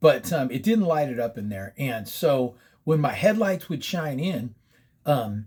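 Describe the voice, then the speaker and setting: Over a silent background in a very clean recording, a man talks with an American accent. His fairly high, somewhat breathy voice swings very widely in pitch at a fairly slow pace. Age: 60s. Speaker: paranormal storyteller. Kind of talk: casual storytelling. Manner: casual, profane, with many fillers.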